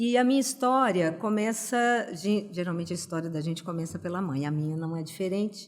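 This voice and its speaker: With an ordinary speaking voice, a woman talks at a moderate pace using lively intonation. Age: 60s. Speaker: pedagogue and cognitive stimulation practitioner. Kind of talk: podcast interview.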